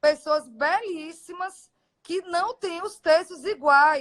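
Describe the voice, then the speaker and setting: The woman's pitch varies in a normal way. She speaks very slowly. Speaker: aesthetic doctor. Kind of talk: live stream Q&A. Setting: Instagram live video.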